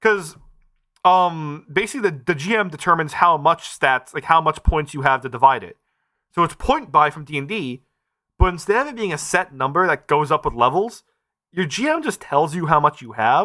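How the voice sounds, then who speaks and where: Over a silent background in a very clean recording, a man with a fairly high pitch talks in a bright, sharp tone, his intonation lively and his loudness swinging widely. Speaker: podcast co-host. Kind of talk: casual chat. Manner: fast.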